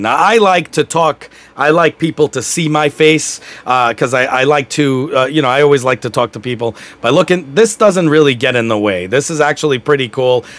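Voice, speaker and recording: Fairly quick, lively speech from a man with a fairly high pitch. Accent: New York. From New York. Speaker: YouTuber reviewing gear. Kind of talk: product review. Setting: home desk. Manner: casual, rambling with fillers.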